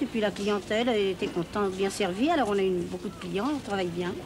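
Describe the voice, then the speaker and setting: Through noticeable background noise, a woman speaks at a fairly quick pace with ordinary pitch variation. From Paris. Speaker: market shopkeeper. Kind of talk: interview answer. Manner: casual, hesitant. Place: street. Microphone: old recording.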